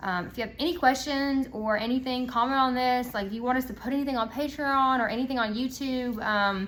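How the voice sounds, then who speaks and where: A woman with a high pitch speaks at a fairly quick pace with hardly any pauses. Her intonation is fairly even, and there is audible room echo. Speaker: aesthetics clinic owner. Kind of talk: casual educational talk. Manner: fast.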